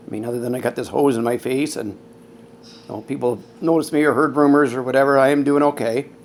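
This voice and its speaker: Fairly even male intonation over noticeable background noise. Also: medium pitch for a man. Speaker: COPD patient sharing story. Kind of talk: personal testimony vlog. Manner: casual, hesitant.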